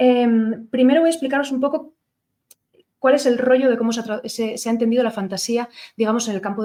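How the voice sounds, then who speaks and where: Very fast speech from a woman, fairly high in pitch with ordinary pitch variation. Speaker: lecturer on literature. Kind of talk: lecture. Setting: lecture hall with audience, streamed. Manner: hesitant, many fillers.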